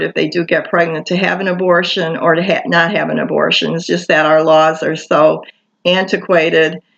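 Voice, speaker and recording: A woman speaks with an American accent and vocal fry. Her intonation is monotone and flat. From Michigan, US. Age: 60s. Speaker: vlogger. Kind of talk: personal testimony monologue. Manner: halting, many fillers.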